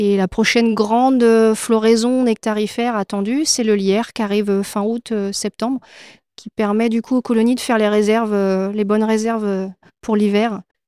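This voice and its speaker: A woman with a dark, mellow tone and fairly high pitch talks at a moderate pace in a flat monotone, recorded dry and close with no echo, very clean, over a silent background. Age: 40s. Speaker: beekeeper. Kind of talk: interview. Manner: hesitant, frequent fillers.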